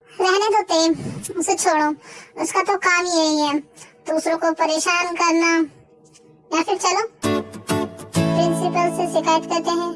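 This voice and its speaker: A put-on character voice is pitched extremely high and moves at a fairly slow pace. Long, frequent pauses break it up, with faint music in the background. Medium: read story.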